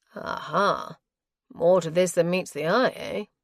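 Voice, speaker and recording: This is a put-on character voice with a raspy sound. It moves at a fairly slow pace. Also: woman, medium pitch for a woman. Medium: read story. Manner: dry, brisk.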